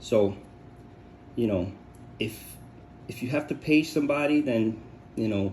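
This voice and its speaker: With vocal fry at a medium pitch, a man talks at a fairly slow pace with ordinary pitch variation and long, frequent pauses. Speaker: DIY scooter repair youtuber. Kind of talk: tutorial; casual chat. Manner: halting, repeats words. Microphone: poor audio quality.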